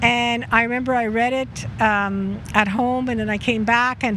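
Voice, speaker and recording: A woman speaks with noticeable noise in the background. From Poland, moved to Montreal at six. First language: Polish. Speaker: local resident. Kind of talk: casual personal storytelling. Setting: outdoors in front of a pastry shop.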